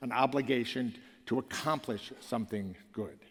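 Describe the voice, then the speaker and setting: This is a man speaking with an American accent. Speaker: professor and former foundation leader. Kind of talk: conference keynote speech. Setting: stage with audience. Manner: fast.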